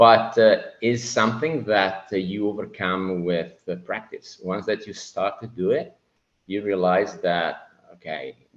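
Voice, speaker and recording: With an Italian accent, a man speaks at a fairly slow pace, his fairly low pitch showing ordinary variation. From Italy. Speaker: Navy officer and land investor. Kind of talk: podcast interview. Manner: halting.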